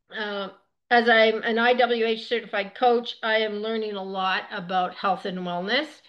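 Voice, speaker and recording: A woman with a fairly high pitch speaks in a normal speaking voice at a moderate pace, her intonation fairly even. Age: 60s. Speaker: wellness coach. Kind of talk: online presentation. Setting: screen-share presentation. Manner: casual.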